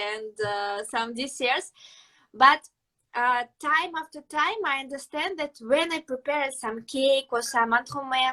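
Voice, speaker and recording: Speaking in a Russian accent, a woman uses a raised, projected voice that is high in pitch, bright and sharp, with ordinary pitch variation at a fairly slow pace. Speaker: pastry chef. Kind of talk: interview. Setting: live video stream. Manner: halting.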